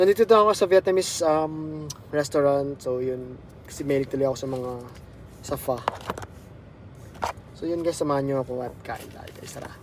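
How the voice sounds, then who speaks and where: The speaker moves at a fairly quick pace with ordinary pitch variation, big swings in loudness, and long, frequent pauses over noticeable background noise. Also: man, fairly high pitch for a man. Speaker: nurse vlogger. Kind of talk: casual vlog talk. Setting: in a car, then restaurant. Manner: halting, many fillers.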